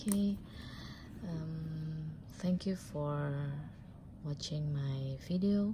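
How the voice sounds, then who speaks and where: A woman with a non-native accent speaks very slowly in a very deep, low pitch, pausing often and at length. Noticeable background noise and audible room echo fill the recording. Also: ordinary pitch variation. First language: not English. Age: 30s. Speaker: vlogger. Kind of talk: unboxing vlog. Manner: halting.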